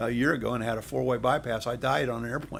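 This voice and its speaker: A man's medium-pitched voice with vocal fry. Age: 70s. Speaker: direct sales leader. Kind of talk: interview. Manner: repetitive, halting starts.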